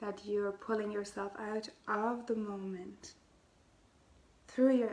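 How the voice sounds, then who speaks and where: A woman with a non-native accent speaks at a medium pitch and fairly slow pace, her intonation monotone and flat, over noticeable background noise. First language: not English. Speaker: spiritual healer and podcast host. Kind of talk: casual spiritual talk.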